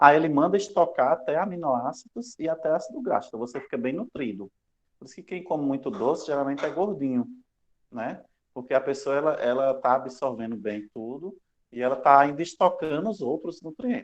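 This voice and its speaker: Speaking at a fairly quick pace, a man with a fairly high pitch uses lively intonation and big swings in loudness. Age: 30s. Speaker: university lecturer. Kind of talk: lecture. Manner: fast; casual, joking.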